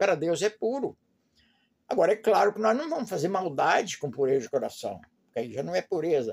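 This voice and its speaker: Recorded dry and close with no echo, a man's voice swings very widely in pitch. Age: 80s+. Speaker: lay preacher. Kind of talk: informal Bible teaching. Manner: halting.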